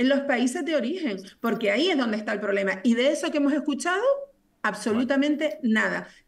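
A woman with a Canarian accent speaks high and with lively intonation against a quiet background. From Canary Islands, Telde (Gran Canaria); Canary Islands, Spain. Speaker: politician. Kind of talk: political debate. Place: home room. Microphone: video call.

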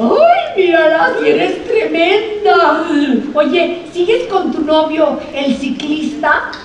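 Delivered at a very slow pace, the speech has audible room echo and light background noise. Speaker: stage actress. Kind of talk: theatrical dialogue. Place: stage. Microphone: camera far.

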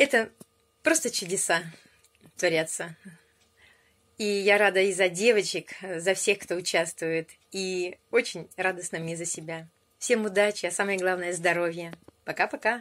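A woman talks at a fairly slow pace with ordinary pitch variation. She leaves long, frequent pauses. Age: 50s. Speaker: weight-loss program participant. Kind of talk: video testimony. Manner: animated. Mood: cheerful, pleased. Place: home room. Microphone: phone near.

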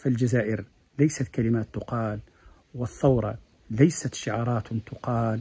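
At a fairly slow pace, a man speaks in a dark, mellow tone. He sounds somewhat breathy. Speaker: commentator giving an anniversary address. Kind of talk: formal address. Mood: earnest, patriotic. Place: garden. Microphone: phone near.

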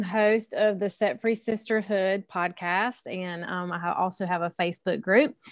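A woman speaks with a Southern US accent at a moderate pace. The background is quiet. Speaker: podcast host and women's coach. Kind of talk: casual group chat.

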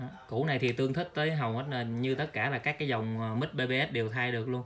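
A man talks at a fast pace with a medium pitch and a fairly bright tone. His intonation stays fairly even.

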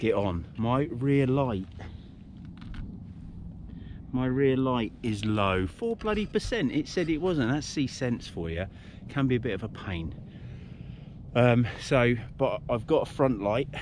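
Pausing long and often, a man speaks at a fairly slow pace with lively intonation, the sound dry with no echo and light background noise. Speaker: cycling vlogger. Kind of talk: casual vlog chat. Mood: chatty, slightly rueful. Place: bicycle. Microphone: phone near.

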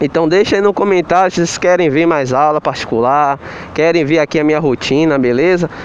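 A man speaks with ordinary pitch variation, the sound dry with no echo and light background noise. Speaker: motorcycle driving instructor. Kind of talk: casual vlog instruction. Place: street. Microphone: phone near.

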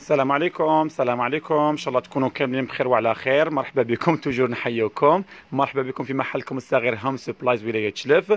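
A man speaks at a fairly quick pace with ordinary pitch variation. The sound is dry, with no echo. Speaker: shop seller. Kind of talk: live product presentation. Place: shop. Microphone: phone near.

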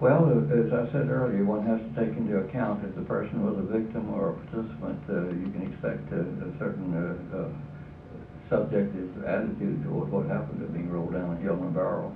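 Over noticeable background noise, a man with an American accent talks at a fairly quick pace in a fairly low pitch, his voice making very wide pitch swings. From Florida, Jacksonville; Florida. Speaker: author and activist; lecturer. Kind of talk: Q&A lecture. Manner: halting. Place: hall. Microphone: podium.

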